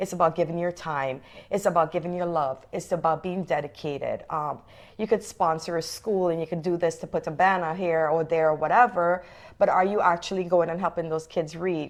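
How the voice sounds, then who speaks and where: A woman with a non-native accent talks at a fairly quick pace in a fairly low voice. The background is quiet. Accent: foreign. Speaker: realtor. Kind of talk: interview. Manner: animated.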